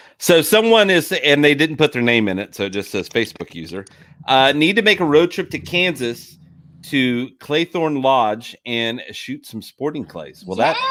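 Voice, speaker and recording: Loud and fairly high-pitched, a man's voice moves through very wide pitch swings. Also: moderate pace. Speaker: podcast host. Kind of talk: casual interview chat.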